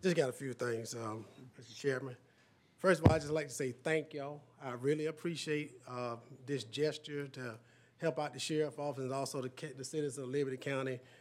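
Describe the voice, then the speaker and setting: Speaking with a Southern US accent, a man with a fairly high pitch keeps his intonation fairly even while his loudness swings widely. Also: fairly quick pace. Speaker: sheriff. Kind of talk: public meeting.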